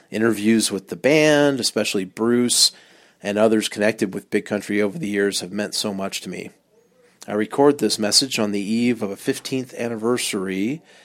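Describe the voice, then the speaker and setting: With an American accent, a man speaks at a fairly low pitch and a moderate pace. He has an ordinary speaking voice and fairly even intonation. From US West Coast, Long Beach, California. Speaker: podcast listener. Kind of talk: recorded voice message.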